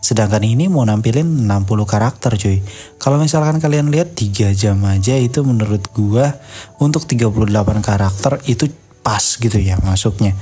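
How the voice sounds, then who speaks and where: Soft-spoken, fairly quick speech at a very even loudness, with ordinary pitch variation and music in the background. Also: man, medium pitch for a man. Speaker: movie news YouTuber. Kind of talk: casual video commentary. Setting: home recording at night. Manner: soft-spoken, quiet; casual, slangy.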